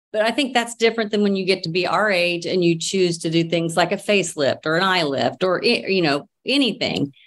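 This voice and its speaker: With lively intonation and a fairly quick pace, a woman talks with hardly any pauses in a medium pitch and an unremarkable speaking voice. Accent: American. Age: 50s. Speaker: social media personality. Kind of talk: casual chat.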